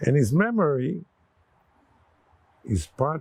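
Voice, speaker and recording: Speech comes at a very slow pace in a dry, close sound with no echo. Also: man. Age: 80s+. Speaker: war veteran. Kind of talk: oral history interview.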